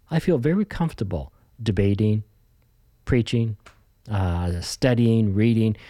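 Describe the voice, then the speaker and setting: A man with a Canadian accent and a fairly low, dark, mellow voice, at a moderate pace with ordinary pitch variation, on a very clean recording with a silent background. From Canada, Ontario. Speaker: pastor. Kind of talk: interview conversation.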